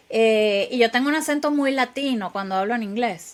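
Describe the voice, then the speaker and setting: A woman with a Venezuelan accent speaks at a fairly high pitch with ordinary pitch variation. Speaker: software engineer and AI expert. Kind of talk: interview. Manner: halting, many repetitions.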